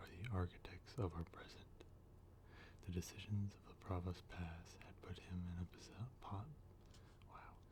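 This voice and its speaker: The speaker is whispering. The pace is moderate. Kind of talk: novel reading. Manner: soft-spoken.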